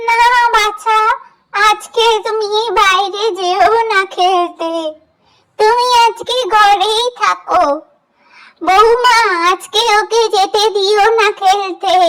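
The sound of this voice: In a cartoonish character voice, a woman speaks at an extremely high pitch. Her delivery is very slow and monotone, with flat intonation.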